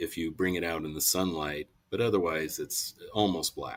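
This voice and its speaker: A man speaks at a moderate pace. His very deep, low voice shows ordinary pitch variation. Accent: American. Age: 60s. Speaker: model train manufacturer. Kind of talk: interview. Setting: podcast recording.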